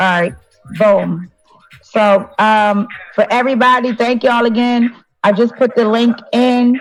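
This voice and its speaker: A woman's fairly high voice, fairly slow with long, frequent pauses, very even loudness and fairly even intonation, over music in the background. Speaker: online talk show host. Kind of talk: casual live-stream panel chat.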